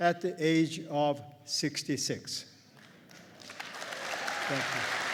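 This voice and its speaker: A man with a Korean accent speaks at a fairly high pitch. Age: 70s. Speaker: accountant and commencement speaker. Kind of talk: commencement speech.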